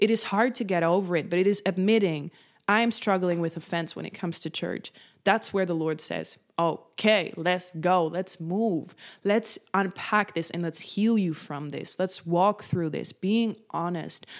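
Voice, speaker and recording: With a Dutch accent, the speaker talks at a fairly slow pace and keeps the intonation fairly even. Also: woman, medium pitch for a woman, very clean recording, silent background. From Netherlands. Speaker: faith-based content creator and podcast host. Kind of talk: devotional talk, solo podcast.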